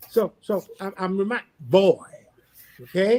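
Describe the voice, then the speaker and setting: This man has a high-pitched voice. The sound is dry and close, with no echo. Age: 60s. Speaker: pastor. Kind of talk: panel discussion.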